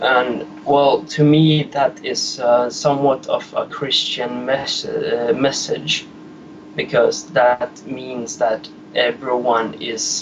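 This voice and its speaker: With noticeable background noise behind him, this man speaks at a very slow pace. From Sweden. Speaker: caller. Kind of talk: call-in chat. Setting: phone call. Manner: halting.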